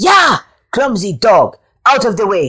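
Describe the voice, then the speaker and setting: A woman's put-on character voice, fairly high in pitch, with very wide pitch swings and a fairly slow pace. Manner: angry, yelling.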